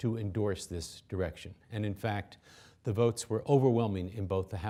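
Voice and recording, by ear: The speaker is reading aloud in a natural voice. The intonation is fairly even.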